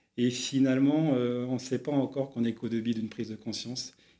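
A man at medium pitch and a moderate pace, with fairly even intonation. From Brittany, France. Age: 40s. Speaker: entrepreneur, startup co-founder. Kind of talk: interview. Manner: hesitant, many filler sounds.

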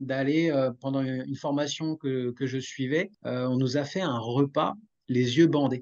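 This man talks very slowly in a fairly high pitch, keeping his intonation fairly even. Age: 40s. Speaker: podcast host, wellness. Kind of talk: casual interview chat.

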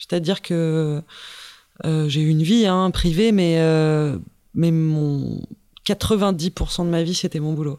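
On a very clean recording with a silent background, a woman with a dark, mellow tone and fairly low pitch speaks at a very slow pace with fairly even intonation and long, frequent pauses. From France, Paris. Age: 30s. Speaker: sailing boat builder and technician. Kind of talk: interview. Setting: team office room.

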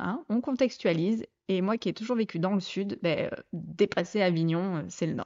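A woman is talking. Her pace is fairly slow. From southeastern France (Côte d'Azur, Provence). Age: 30s. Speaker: podcast host. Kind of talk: casual monologue. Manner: hesitant, many fillers.

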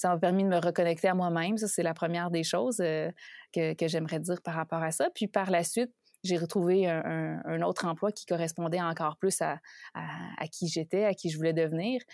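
An ordinary speaking voice with fairly even intonation comes through a very clean recording with a silent background, its sound dry and close with no echo. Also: woman, fairly low pitch for a woman, fairly quick pace. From Quebec. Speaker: leadership coach. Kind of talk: interview.

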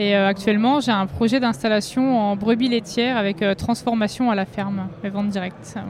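Over noticeable background noise, a woman with a medium pitch talks at a moderate pace with ordinary pitch variation and hardly any pauses. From Vosges, eastern France. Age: 30s. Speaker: sheltered workshop farming instructor, game tournament winner. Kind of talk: casual interview.

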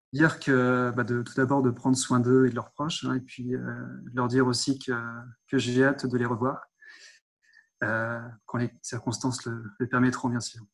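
A man's medium-pitched voice in a flat monotone, at a moderate pace with long, frequent pauses. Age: 30s. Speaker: sales manager at a dosimetry laboratory. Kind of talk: interview. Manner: hesitant, repeats words.

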